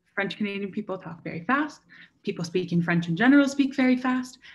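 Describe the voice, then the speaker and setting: A somewhat breathy woman talks at a very fast pace. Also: very clean recording, silent background. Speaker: university student panellist. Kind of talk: panel discussion.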